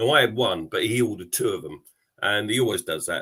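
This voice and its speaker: In a London accent, a man speaks very fast, his medium-pitched voice bright and sharp. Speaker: football podcast panelist. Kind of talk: casual chat. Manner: hesitant, many fillers.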